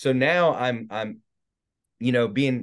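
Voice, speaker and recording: A man's medium-pitched, a plain, everyday voice with an American accent and ordinary pitch variation. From North Carolina (born South Carolina). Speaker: minister and evangelist. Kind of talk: testimony. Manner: casual.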